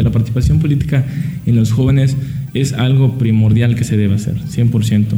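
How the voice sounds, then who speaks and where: Speech comes at a fairly quick pace with fairly even intonation, heard through audible room echo and noticeable background noise. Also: man. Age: 20s. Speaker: accounting student, party youth member. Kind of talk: radio interview.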